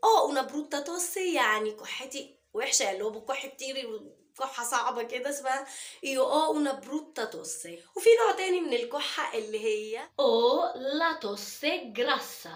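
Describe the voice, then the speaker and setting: Her pitch swings very widely as a woman speaks in a high voice. She keeps to a moderate pace. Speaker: Italian language teacher. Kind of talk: language tutorial.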